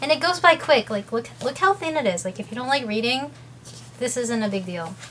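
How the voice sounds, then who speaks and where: A woman speaks over noticeable background noise. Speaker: video blogger with ulcerative colitis. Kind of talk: casual vlog talk to camera. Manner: fast.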